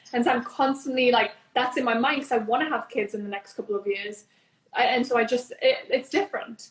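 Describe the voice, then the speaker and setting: With a Newcastle accent, a high-pitched woman talks at a fairly quick pace using ordinary pitch variation. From northern England, Newcastle. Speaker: entrepreneur, business founder. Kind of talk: interview.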